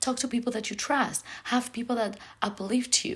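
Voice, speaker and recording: Speech at a moderate pace comes through somewhat breathy. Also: woman. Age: 20s. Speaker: podcast host. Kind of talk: casual monologue. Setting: friend's apartment.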